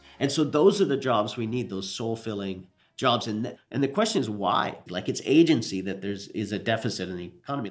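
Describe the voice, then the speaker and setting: With a normal speaking voice, a man talks at a fairly quick pace and medium pitch, with ordinary pitch variation and hardly any pauses. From Newfoundland, Canada. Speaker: ocean farmer and former fisherman. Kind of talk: interview.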